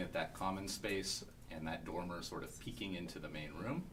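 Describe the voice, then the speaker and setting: A fairly quick pace with audible room echo. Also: man. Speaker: small-scale housing developer. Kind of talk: conference panel presentation. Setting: conference room with audience. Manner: fast.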